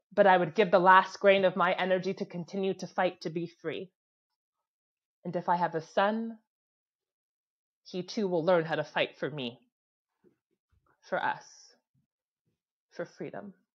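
A woman talks at a moderate pace with fairly even intonation and long, frequent pauses, over a quiet background. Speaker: spoken word poet. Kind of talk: spoken word performance. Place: home room. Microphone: earbuds.

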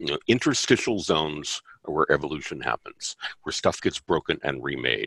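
Over a quiet background, a man talks at a moderate pace in a dry sound with no echo. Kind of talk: casual group video call. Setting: video call. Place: home room. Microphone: video call.

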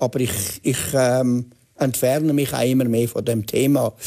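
In a Swiss accent, a man speaks fairly slowly with a dark, mellow tone and monotone, flat intonation against a quiet background. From Switzerland. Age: 80s+. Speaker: journalist and author. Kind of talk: TV interview answer. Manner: hesitant, reflective. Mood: reflective, calm, hesitant. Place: studio. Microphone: lapel.

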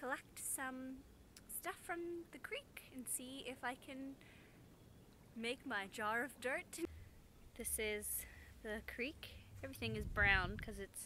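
The voice has a bright, sharp tone, with light background noise behind it. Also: woman. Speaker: vlogger. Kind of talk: casual vlog chat. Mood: playful, cheerful. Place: open country. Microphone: phone near.

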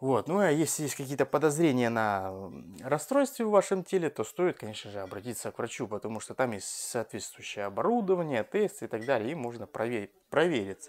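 Moving at a fairly quick pace, a man at a medium pitch makes very wide pitch swings and big swings in loudness. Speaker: fitness coach and bodybuilder. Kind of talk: Q&A video blog. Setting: at home. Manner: casual.

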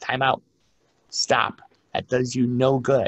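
This man has an American accent. There is some breathiness to his voice. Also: quiet background. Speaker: librarian and archivist giving a genealogy lecture; archivist giving a genealogy lecture. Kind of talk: lecture. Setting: remote presentation from his work office. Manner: long-winded. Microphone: webcam.

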